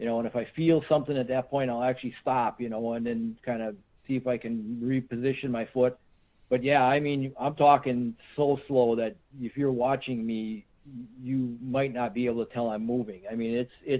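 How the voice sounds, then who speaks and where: A man's medium-pitched voice with an American accent and monotone, flat intonation. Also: moderate pace. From Central Wisconsin. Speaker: deer hunter, tracker. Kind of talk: podcast interview. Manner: casual, many fillers and repeats.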